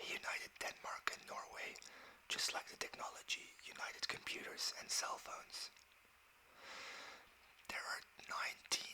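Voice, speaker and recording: The speaker whispers at a moderate pace, with long, frequent pauses. Noticeable background noise runs underneath. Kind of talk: ASMR fact reading. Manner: whispered, soft-spoken.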